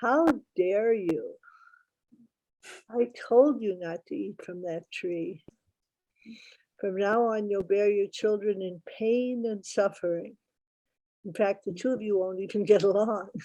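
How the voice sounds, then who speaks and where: Booming put-on character voice from a woman at medium pitch, fairly slow pace and long, frequent pauses, over a quiet background. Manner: angry, scolding.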